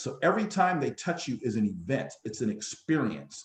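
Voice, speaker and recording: At a moderate pace, a man with vocal fry speaks at a fairly high pitch, his pitch swinging very widely. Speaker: business coach presenter. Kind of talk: business workshop presentation.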